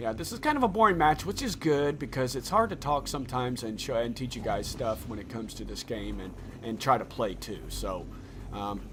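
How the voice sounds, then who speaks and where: A man in a rural Indiana accent speaks at a moderate pace and medium pitch in an animated tone. Music plays in the background. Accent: Indiana country. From Indiana, US Midwest. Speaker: gaming YouTuber. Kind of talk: gameplay tutorial commentary.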